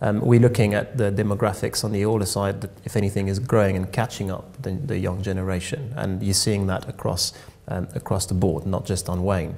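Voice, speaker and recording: With music in the background, a man with a slight French accent talks at a fairly quick pace, his pitch fairly low and his intonation fairly even. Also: hardly any pauses. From France. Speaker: tech company co-founder. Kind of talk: radio interview. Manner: hesitant, many fillers.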